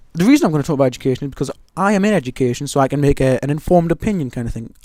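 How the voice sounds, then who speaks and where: Delivered at a very fast pace with ordinary pitch variation, this voice with an English accent comes through a very clean recording with a silent background. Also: man. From England. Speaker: gaming YouTuber. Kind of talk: gameplay commentary. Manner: casual, rambling with fillers.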